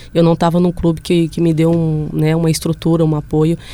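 A woman speaks with a very deep, low pitch. Her pace is fairly quick and her intonation monotone and flat. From Brazil, Belo Horizonte. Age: 20s. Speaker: professional footballer. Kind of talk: casual interview chat. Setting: studio.

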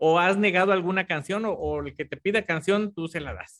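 The tone is bright and sharp, with a dry, close sound and no echo, moderate pacing and ordinary pitch variation. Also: man. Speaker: podcast host. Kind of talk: casual interview. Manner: halting, repeats words.

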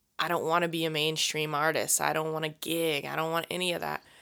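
In a very clean recording with a silent background, a woman with a very deep, low pitch, vocal fry and a bright, sharp tone talks at a fairly quick pace. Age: 20s. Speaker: worship leader and podcast co-host. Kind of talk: casual faith discussion.

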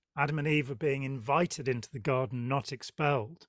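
A man with a plain, everyday voice, fairly high in pitch, recorded dry and close with no echo against a silent background in a very clean recording. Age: 60s. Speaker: podcast host. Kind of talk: interview conversation.

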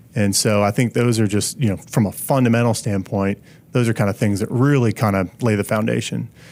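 A man with an American accent talks at a fairly quick pace in a plain, everyday voice, fairly low in pitch, with fairly even intonation and very even loudness. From Pennsylvania. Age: 30s. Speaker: business consultant and endurance athlete. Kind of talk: casual interview.

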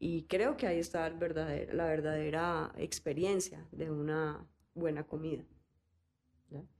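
A woman speaks very slowly in a very deep, low voice with vocal fry and monotone, flat intonation. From Colombia, Cali. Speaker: fermentation entrepreneur. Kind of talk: interview conversation.

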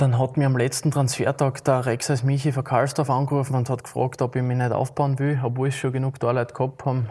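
Somewhat breathy and dark, mellow in tone, a man talks fairly quickly at medium pitch with monotone, flat intonation. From Austria, Graz (Liebenau). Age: 20s. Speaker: amateur football goalkeeper. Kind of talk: casual interview. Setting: city council chamber.

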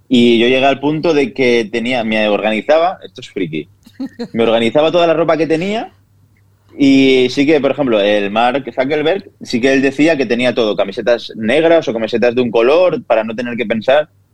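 A normal speaking voice moves at a moderate pace with ordinary pitch variation. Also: man, medium pitch for a man. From Spain, Castellón (Vila-real). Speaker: chef and food influencer. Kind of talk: interview.

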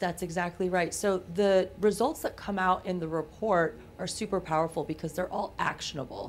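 An ordinary speaking voice moves at a moderate pace with fairly even intonation and hardly any pauses. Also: woman, medium pitch for a woman. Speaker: genetic testing company founder. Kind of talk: casual chat. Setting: studio.

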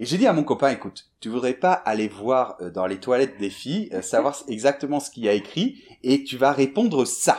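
With an unremarkable speaking voice, a man talks at a moderate pace with hardly any pauses, a medium pitch, and lively intonation. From France, Bordeaux. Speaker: French teacher. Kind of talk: storytelling for language learners.

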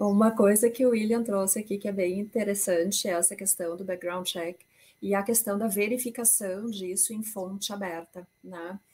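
With a dark, mellow tone and a somewhat breathy quality, a woman of medium pitch speaks at a moderate pace with fairly even intonation. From Brazil. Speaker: intellectual property and data protection consultant. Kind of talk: presentation with slides in a panel discussion.

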